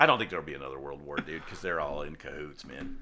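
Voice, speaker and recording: Bright, sharp tone from a man with vocal fry, lively intonation, and audible room echo. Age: 50s. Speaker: podcast host's father. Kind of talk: casual chat.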